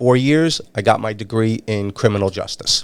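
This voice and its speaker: This man talks at a fairly slow pace, his medium pitch showing ordinary variation. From New York City and northern New Jersey. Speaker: retired sex crimes investigator. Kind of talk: interview. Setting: studio.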